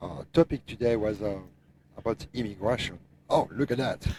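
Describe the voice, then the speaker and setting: The tone is dark and mellow. The pace is moderate. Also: man. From France. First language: French. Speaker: truck driver, owner operator. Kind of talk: podcast discussion.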